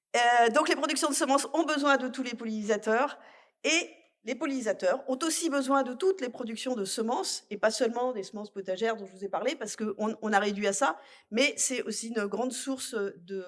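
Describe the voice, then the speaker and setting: The woman's intonation is lively. She speaks fairly quickly at a fairly high pitch. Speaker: agricultural technical manager. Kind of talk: conference talk. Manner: loud.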